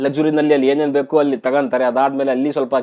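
This is a man with a fairly high pitch. His tone is dark and mellow. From North Karnataka, India. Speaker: TV show reviewer. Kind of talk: casual video commentary.

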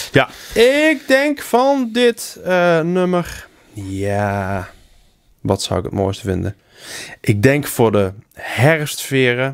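A very slow delivery with long, frequent pauses over a quiet background. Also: man. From Helmond, North Brabant, Netherlands; North Brabant. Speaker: podcast co-host. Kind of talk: casual chat. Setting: studio. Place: home room. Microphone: studio mic.

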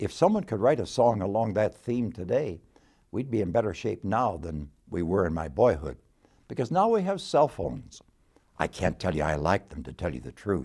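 In a quiet background, a man with a dark, mellow tone and vocal fry speaks at a moderate pace with very wide pitch swings. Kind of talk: devotional talk. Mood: warm, gently humorous. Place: office. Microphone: lapel.

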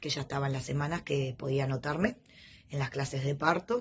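A somewhat breathy woman with a Uruguayan accent. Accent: Uruguayan Rioplatense Spanish. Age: 40s. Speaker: patient giving a testimonial. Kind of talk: testimony. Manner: hesitant, many fillers. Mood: warm, grateful. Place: home room. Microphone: phone near.

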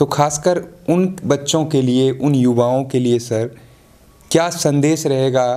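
The tone is dark and mellow, with ordinary pitch variation and a fairly slow pace. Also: man. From Bihar, India. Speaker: local TV news interviewer. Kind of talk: interview. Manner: formal. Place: home room. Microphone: handheld.

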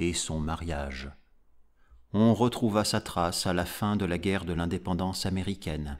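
A man speaks at a fairly slow pace. His tone is solemn and dramatic. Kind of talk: audiobook reading of a gothic horror story. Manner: slow, measured, solemn narration; dramatic, grave, deliberate pacing.

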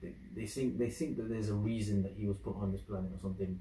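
A man with a British accent speaks at a very fast pace, with vocal fry, a fairly low pitch and a dark, mellow tone, amid light background noise and audible room echo. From UK. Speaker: YouTube reactor. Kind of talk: video reaction commentary. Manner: casual, animated. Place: home room. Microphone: camera far.

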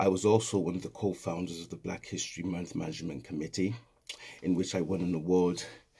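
This man has a Welsh accent and a very deep, low pitch with a dark, mellow tone. His pitch varies in an ordinary way against a quiet background. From Wales. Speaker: educational consultant. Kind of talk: promotional invitation. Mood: warm, inviting. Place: home room. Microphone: phone near.

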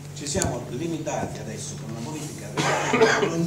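Against loud background noise, a man speaks in a room with audible echo. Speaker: council member explaining a rule change. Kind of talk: council meeting statement. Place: hall.

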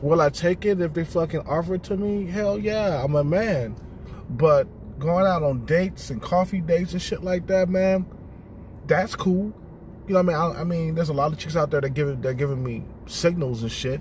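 A man speaks at a high pitch and fairly quick pace, with ordinary pitch variation. The sound is dry with no echo, and light background noise is present. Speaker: vlogger. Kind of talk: casual vlog chat. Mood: relaxed, blunt. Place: car. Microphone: phone near.

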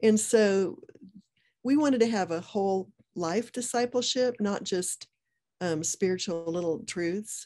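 A woman with an American accent, dark and mellow in tone, at a fairly slow pace with ordinary pitch variation, long and frequent pauses, and a quiet background. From United States. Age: 60s. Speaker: speaker. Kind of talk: interview. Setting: video call. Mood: warm, reflective. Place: home room. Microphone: video call.

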